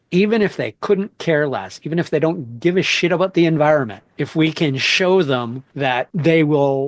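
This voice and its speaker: A man with an unremarkable speaking voice talks at a fairly slow pace, his pitch fairly high with ordinary variation. The sound is dry and close, with no echo. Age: 50s. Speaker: podcast host. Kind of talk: interview conversation.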